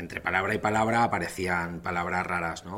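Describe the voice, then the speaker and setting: In a room with audible echo, a man speaks with a very deep, low pitch and fairly even intonation. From Valencia, Spain. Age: 40s. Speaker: communication coach. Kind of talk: lecture.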